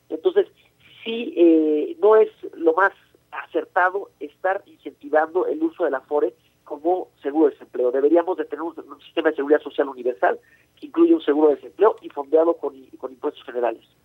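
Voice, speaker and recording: Talking fairly quickly, a man lets his volume rise and fall in big swings. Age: 50s. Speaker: economist, think tank director. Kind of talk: radio interview. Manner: halting, many fillers and repetitions.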